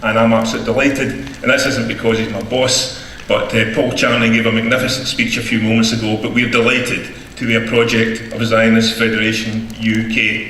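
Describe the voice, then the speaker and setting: Against noticeable background noise and audible room echo, a man with a Scottish accent speaks at a fairly quick pace in a medium pitch. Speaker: advocacy group director. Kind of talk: rally speech. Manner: animated.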